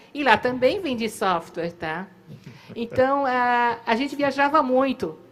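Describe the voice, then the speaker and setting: With lively intonation, a woman talks at a fairly slow pace and a high pitch. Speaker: company co-founder. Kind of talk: storytelling at a live event. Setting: theater stage.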